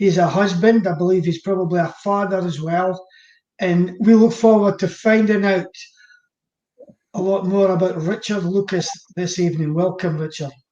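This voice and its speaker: A man with a high pitch and a dark, mellow tone speaks at a moderate pace with fairly even intonation and long, frequent pauses. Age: 70s. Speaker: pastor. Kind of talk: introduction.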